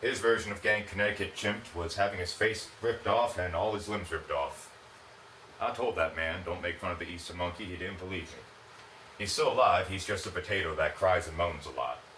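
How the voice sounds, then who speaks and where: A man with a fairly low pitch talks at a fairly quick pace. There is noticeable background noise and audible room echo. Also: ordinary pitch variation. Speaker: comedy show contestant. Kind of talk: stand-up.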